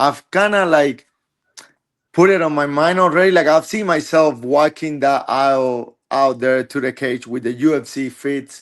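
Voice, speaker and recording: A man with a Spanish accent, fairly high in pitch, with ordinary pitch variation and a moderate pace. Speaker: MMA fighter. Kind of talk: interview. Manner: halting.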